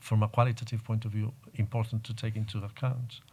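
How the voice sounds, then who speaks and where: A man's very fast, somewhat breathy delivery at medium pitch, monotone and flat, in a very clean recording with a silent background. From Galicia, Spain. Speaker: poet and translator. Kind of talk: panel discussion.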